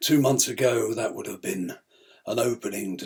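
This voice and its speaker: A man puts on a raspy character voice at medium pitch. He keeps a moderate pace. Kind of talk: theatrical monologue. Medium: solo performance. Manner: candid, reflective monologue.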